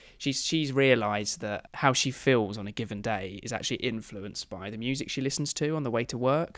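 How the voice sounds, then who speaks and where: The recording is very clean, with a silent background, and a man speaks in an unremarkable speaking voice at medium pitch. He moves at a fairly quick pace with hardly any pauses and ordinary pitch variation. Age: 20s. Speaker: podcast host. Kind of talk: casual chat. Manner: joking, laughs often.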